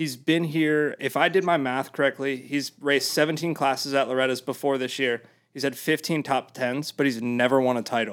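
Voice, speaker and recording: In an ordinary speaking voice, a man talks at a fairly quick pace and fairly high pitch with hardly any pauses and fairly even intonation, on a very clean recording with a silent background. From US Mid-Atlantic. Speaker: videographer. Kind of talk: casual chat.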